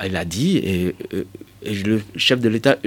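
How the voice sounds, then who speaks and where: Talking at a very slow pace, a man uses ordinary pitch variation. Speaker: cultural heritage expert. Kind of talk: radio interview. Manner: hesitant, frequent fillers.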